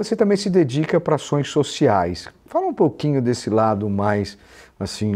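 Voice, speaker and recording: A man's dark, mellow tone with lively intonation at a moderate pace. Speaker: podcast host. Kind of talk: interviewer. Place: office. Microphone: earbuds.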